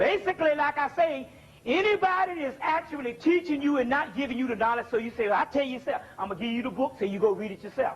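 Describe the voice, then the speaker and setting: Over noticeable background noise, a man talks at a very fast pace in an extremely high pitch. His pitch swings very widely. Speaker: spiritual lecturer. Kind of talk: lecture.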